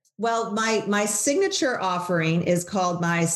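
In a room with audible echo, a woman of medium pitch speaks fairly slowly with ordinary pitch variation. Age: 50s. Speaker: personal stylist and entrepreneur. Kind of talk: casual interview chat. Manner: hesitant, many fillers and repeats.

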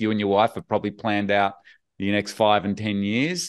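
A fairly low-pitched man with an Australian accent against a quiet background. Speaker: podcast host. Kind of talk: interview chat. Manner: friendly, conversational.

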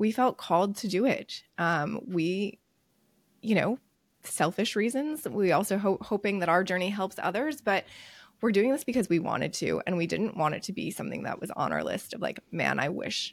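Speaking with an American accent, a woman shows lively intonation and vocal fry at a medium pitch. The recording is very clean, with a silent background. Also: moderate pace. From US East Coast. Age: 30s. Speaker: podcast co-host. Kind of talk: casual chat. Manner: animated.

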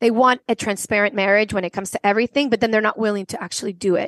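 A woman's fairly high voice, dry and close with no echo. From Venezuela. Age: 40s. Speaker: actor and dancer, podcaster. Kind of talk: casual interview.

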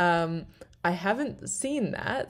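A woman speaks with a fairly low pitch and lively intonation. The recording is very clean, with a silent background. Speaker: SEO blogger and YouTuber. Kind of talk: tutorial. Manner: casual, conversational.

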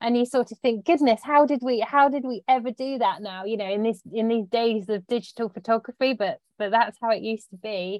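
Speaking with an English accent, a woman with a fairly high pitch talks fairly quickly with hardly any pauses and ordinary pitch variation. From British countryside. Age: 40s. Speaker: magazine features editor. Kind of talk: interview.

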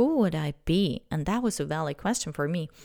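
At a moderate pace, a woman speaks in a dark, mellow tone with a fairly low pitch and ordinary pitch variation on a very clean recording with a silent background. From Switzerland. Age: 30s. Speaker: podcast host, life coach. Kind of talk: casual monologue.

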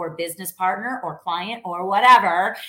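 The speaker is loud, with an animated tone and lively intonation. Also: woman. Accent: American. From New York. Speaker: sales coach. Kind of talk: live stream sales training.

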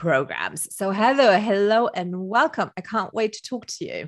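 The setting is quiet. A woman talks at a moderate speed. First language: not English. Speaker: business consultant and podcast host. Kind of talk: interview.

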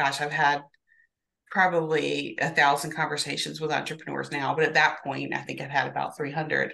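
Vocal fry runs through a woman's very deep, low voice, which has a bright, sharp tone. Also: quiet background. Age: 50s. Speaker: therapist and business coach. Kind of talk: interview.

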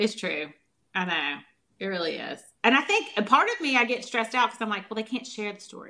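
A woman in a Southern US accent talks at a very fast pace with lively intonation. Her bright, sharp tone swings widely in loudness. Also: fairly high pitch for a woman. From US South. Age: 40s. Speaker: holistic nutritionist. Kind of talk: interview.

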